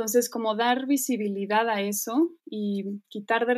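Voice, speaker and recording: Recorded very cleanly against a silent background, a woman with a normal speaking voice talks at a fairly high pitch with fairly even intonation. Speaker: dancer and choreographer. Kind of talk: interview conversation.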